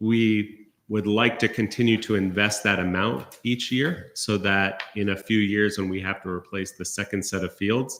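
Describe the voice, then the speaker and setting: A man with a fairly low pitch talks with hardly any pauses and fairly even intonation on a very clean recording with a silent background. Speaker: university recreation center administrator. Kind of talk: budget hearing presentation. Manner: fast.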